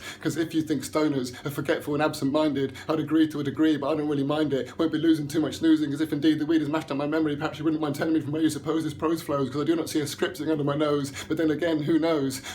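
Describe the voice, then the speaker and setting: A man with a fairly high voice speaks at a very fast pace with hardly any pauses, in a passionate tone with monotone, flat intonation, over noticeable background noise. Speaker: spoken word poet. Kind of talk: spoken word poetry performance, rhymed rant. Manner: fast, rhythmic, passionate delivery with some stumbling.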